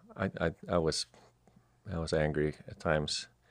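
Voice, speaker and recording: A man's very deep, low voice with a Swedish accent and vocal fry. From southern Sweden. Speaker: entrepreneur. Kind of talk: interview. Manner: halting, with frequent repetitions.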